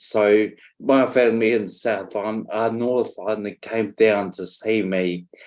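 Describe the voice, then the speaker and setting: A man with a New Zealand accent, fairly low in pitch, at a very slow pace. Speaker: stroke survivor, former firefighter. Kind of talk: interview. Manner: halting, many fillers.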